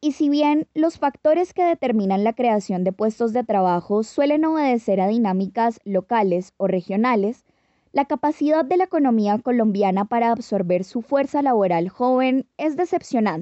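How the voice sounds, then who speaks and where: An ordinary speaking voice moves at a moderate pace with lively intonation, very even loudness and hardly any pauses. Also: woman, fairly high pitch for a woman. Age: 20s. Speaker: podcast host. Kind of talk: scripted narration.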